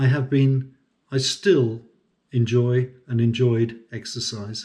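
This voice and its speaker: A man with a British accent, somewhat breathy and dark, mellow in tone, with fairly even intonation at a very slow pace. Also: medium pitch for a man. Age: 60s. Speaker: semi-retired farm manager and consultant. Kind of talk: personal vlog monologue.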